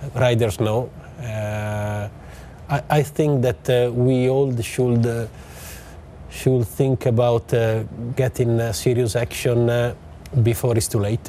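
A speaker with an Italian accent talks at a very slow pace, with long, frequent pauses. The intonation stays fairly even. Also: man, medium pitch for a man. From Italy. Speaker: motorsport team executive. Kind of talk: interview. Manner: halting.

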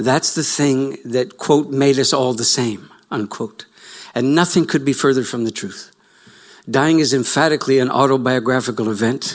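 Speaking at a moderate pace, a man with a Canadian accent has an ordinary speaking voice. His pitch is medium, with ordinary pitch variation. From Canada. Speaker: lecturer, writer and farmer. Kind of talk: lecture. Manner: reflective, storytelling.

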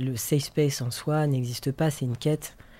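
A man's medium-pitched voice with a dark, mellow tone, monotone and flat in intonation, at a moderate pace, on a very clean recording with a silent background. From France. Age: 30s. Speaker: artist and activist. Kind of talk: interview. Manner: halting.

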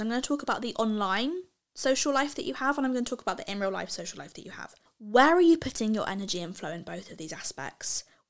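A loud, animated woman at a very fast pace, high in pitch with very wide pitch swings. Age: 20s. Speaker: lifestyle podcast host. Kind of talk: casual monologue.

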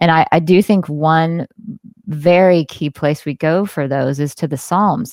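A woman with a very deep, low voice talks at a fairly slow pace with ordinary pitch variation. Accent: Southern US. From US South, Jackson, Mississippi. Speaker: singer-songwriter. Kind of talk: casual chat.

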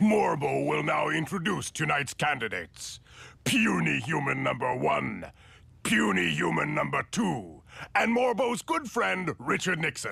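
A man puts on a character voice. He speaks at a medium pitch and a moderate pace. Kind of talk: formal broadcast announcer. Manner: booming, menacing, pompous.

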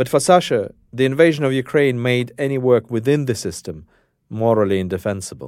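A man with a Russian accent speaks at a medium pitch. His pace is fairly quick and his intonation lively. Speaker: journalist and podcast host. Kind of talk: narrated documentary.

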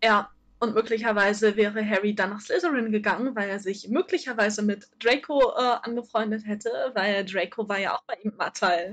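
This woman talks at a moderate pace in a fairly high voice. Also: ordinary pitch variation. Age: 20s. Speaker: fanfiction writer. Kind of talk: casual chat. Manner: hesitant, many fillers. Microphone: poor audio quality.

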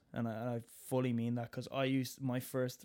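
The recording is very clean with a silent background. The speaker, in a Dublin accent, talks in a flat monotone. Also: man. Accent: Dublin Irish. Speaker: musical theatre actor. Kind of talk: casual chat.

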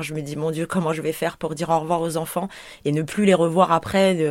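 Her very deep, low voice moves at a fairly quick pace in a monotone, flat delivery. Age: 30s. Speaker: home childcare worker. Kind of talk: testimony. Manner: hesitant, many fillers.

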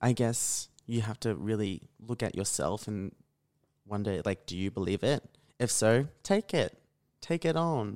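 With an Australian accent, a man of medium pitch speaks at a fairly slow pace in a dry, close recording with no echo. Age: young. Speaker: radio presenter, podcast guest. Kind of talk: casual chat. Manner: monotone.

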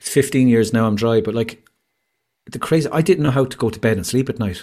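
Speaking with an Irish accent, a man keeps a medium pitch with ordinary pitch variation. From Ireland. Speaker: mental health campaigner. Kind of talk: casual chat. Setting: video call. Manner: animated. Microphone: home studio microphone.

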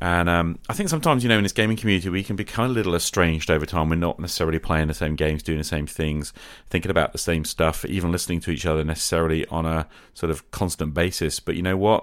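Speaking at a fast pace with few pauses, a man with a low voice and ordinary pitch variation comes through on a very clean recording with a silent background.

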